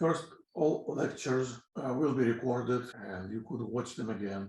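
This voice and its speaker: With a Russian accent and a medium pitch, a man talks in a room with audible echo. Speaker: physics teacher. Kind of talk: lecture. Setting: pre-recorded lecture. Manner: halting.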